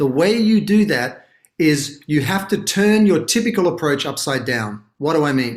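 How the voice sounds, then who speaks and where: A man's lively intonation with an American accent. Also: very clean recording, silent background. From Australia. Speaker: brand consultancy founder. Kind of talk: interview. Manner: articulate, fluent.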